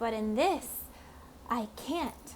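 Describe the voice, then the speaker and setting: A woman uses a put-on character voice with a fairly high pitch against clear background noise. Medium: read story. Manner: smooth, coaxing.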